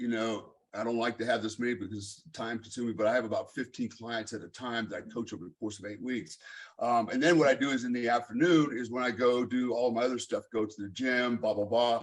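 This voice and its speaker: In an American accent, a man speaks with an unremarkable speaking voice at medium pitch and fairly even intonation. His pace is fairly quick, and the background is quiet. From Germany. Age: 50s. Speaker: fitness coach. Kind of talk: casual chat.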